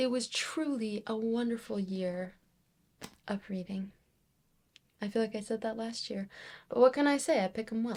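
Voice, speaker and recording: Somewhat breathy and fairly high-pitched, a woman speaks at a moderate pace with ordinary pitch variation and long, frequent pauses. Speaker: book reviewer. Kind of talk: reading wrap-up video.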